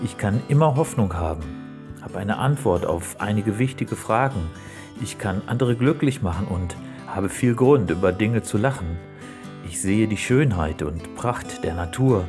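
Music plays clearly in the background. The speech moves at a moderate pace with lively intonation. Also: man, fairly low pitch for a man. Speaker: poetry slam performer. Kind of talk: poetry slam performance. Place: beach.

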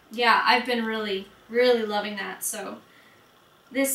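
There is audible room echo and noticeable background noise as a woman speaks at a fairly high pitch. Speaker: beauty vlogger. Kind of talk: product review vlog.

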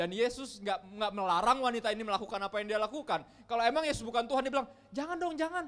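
A man speaks in a high-pitched voice. His pitch swings very widely. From Indonesia. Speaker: pastor. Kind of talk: sermon. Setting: church. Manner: casual, conversational. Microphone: handheld.

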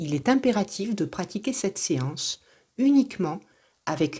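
A woman's somewhat breathy voice in a calm, soothing tone, with very wide pitch swings. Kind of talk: guided meditation. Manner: soft, calm, slow and soothing.

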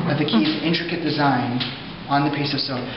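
A man's fairly even intonation comes through audible room echo and noticeable background noise. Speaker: tour guide. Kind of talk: guided tour narration. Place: hall. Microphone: camera far.

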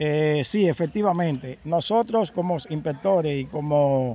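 A man's dark, mellow voice sits fairly high in pitch, with ordinary pitch variation and a dry sound with no echo. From Dominican Republic. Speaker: environmental inspector. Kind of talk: interview. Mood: earnest, concerned. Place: waterside. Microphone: handheld.

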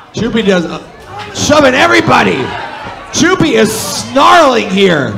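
A raised, projected voice with very wide pitch swings comes at a fairly slow pace over noticeable background noise. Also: man, high pitch for a man. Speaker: wrestling commentator. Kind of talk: live wrestling commentary. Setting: wrestling show commentary. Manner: jokey, banter with co-commentator. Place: hall.

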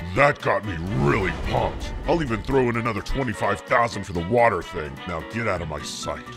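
A man's put-on character voice, fairly low in pitch, at a moderate pace over clear music in the background. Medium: machinima. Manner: brusque, gruff.

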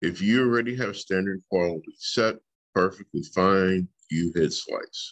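In a plain, everyday voice, a man speaks at a fairly slow pace with fairly low pitch. His pitch varies in an ordinary way against a quiet background. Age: 40s. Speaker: teacher. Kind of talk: tutorial. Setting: screen-share video lesson. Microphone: webcam.

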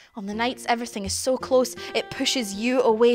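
A woman speaks at a high pitch. Faint music plays in the background. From Glasgow, Scotland. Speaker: spoken word performer. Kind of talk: spoken word theatre performance. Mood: intimate, reflective. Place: stage.

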